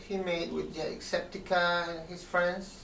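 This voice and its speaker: The speaker has a Spanish accent. The pace is fairly slow. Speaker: video diary vlogger. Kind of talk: casual video diary. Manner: halting, many fillers.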